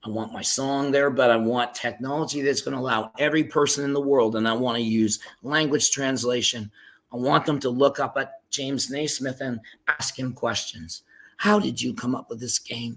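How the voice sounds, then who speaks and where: A man speaks at medium pitch with ordinary pitch variation. His pace is moderate. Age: 60s. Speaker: songwriter. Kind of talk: casual chat. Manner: animated.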